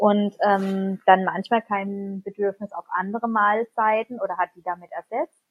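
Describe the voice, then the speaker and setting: A woman speaks in a plain, everyday voice with a medium pitch. Her pace is fairly slow, with fairly even intonation and hardly any pauses. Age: 30s. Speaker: parent. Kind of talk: interview.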